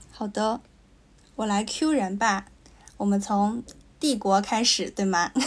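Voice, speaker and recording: Very slowly, with long, frequent pauses, a woman speaks at a medium pitch in a somewhat breathy voice, her pitch varying in an ordinary way, in a very clean recording with a silent background. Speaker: podcast co-host. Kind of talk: casual chat.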